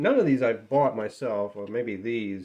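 The speaker talks at a fairly slow pace with ordinary pitch variation and a dark, mellow tone. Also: man. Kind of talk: casual show-and-tell. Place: workshop.

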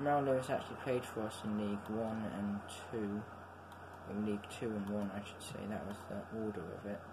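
The speaker moves at a fairly quick pace. Noticeable background noise can be heard. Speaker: gamer commenting on his match. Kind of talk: casual game commentary. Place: home room. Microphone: phone near.

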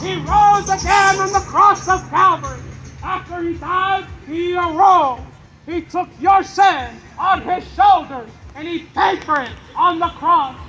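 Music plays in the background as a man, in a raised, projected voice, talks at a fairly slow pace with fairly even intonation. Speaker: street preacher. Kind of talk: sermon. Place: street. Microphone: camera far.

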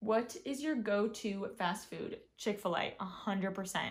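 A woman's somewhat breathy voice with an American accent, very slow pace and ordinary pitch variation. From US South, Atlanta suburbs. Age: 20s. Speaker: lifestyle YouTuber. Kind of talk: casual vlog chat. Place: home room. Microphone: phone near.

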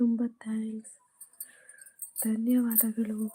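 Her fairly high voice has a dark, mellow tone, and the woman speaks in a monotone, flat intonation. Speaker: YouTube storyteller. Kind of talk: casual livestream chat. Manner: unable to speak loudly.

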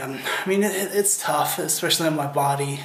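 A man talks at a moderate pace with audible room echo. Light background noise sits behind him. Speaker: weight loss vlogger. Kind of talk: casual vlog chat. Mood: earnest, encouraging.

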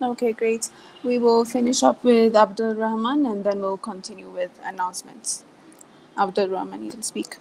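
A woman's plain, everyday voice at a fairly high pitch, with ordinary pitch variation, big swings in loudness and a moderate pace over light background noise. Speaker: meeting facilitator. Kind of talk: online team standup meeting. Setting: video call. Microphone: video call.

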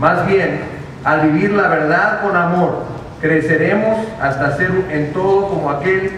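A man at a fairly slow pace with few pauses, ordinary pitch variation and audible room echo

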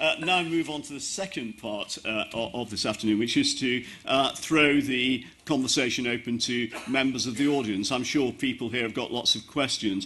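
With a bright, sharp tone, a man speaks at a moderate pace with few pauses and ordinary pitch variation. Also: medium pitch for a man.

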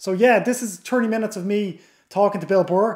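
There's a man talking, his pitch varying in an ordinary way. Nothing much can be heard behind him. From Ireland. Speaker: podcast host. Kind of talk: casual interview.

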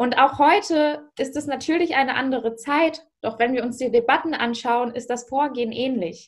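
A woman with a high pitch talks at a moderate pace, with ordinary pitch variation. There are hardly any pauses, and the background is quiet. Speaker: youth politician. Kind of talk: panel discussion. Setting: video call. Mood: serious, earnest. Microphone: video call.

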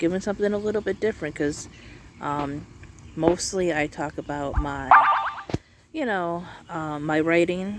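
A woman at a moderate pace with long, frequent pauses and ordinary pitch variation, dry with no echo, over loud background noise. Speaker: channel host. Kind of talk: casual vlog chat. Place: open country. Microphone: phone near.

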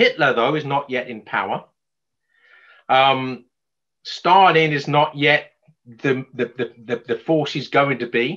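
Pausing long and often, a man with a fairly high pitch and a bright, sharp tone speaks at a very slow pace. His pitch varies in an ordinary way against a quiet background. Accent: English. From England. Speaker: author and lecturer; lecturer. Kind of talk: lecture. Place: home room. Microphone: webcam.

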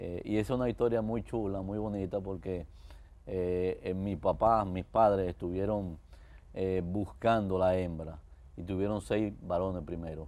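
The voice has a dark, mellow tone, fairly even intonation and a fairly slow pace. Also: man, very deep, low pitch for a man. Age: 60s. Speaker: architect giving faith testimony; guest. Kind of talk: TV interview testimony. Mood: warm, cheerful storytelling. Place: studio. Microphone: lapel.

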